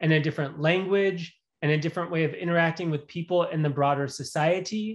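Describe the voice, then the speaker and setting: A man with an American accent talks at a fairly quick pace, his high-pitched voice showing ordinary pitch variation. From US Midwest, Michigan. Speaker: professor. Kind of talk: lecture.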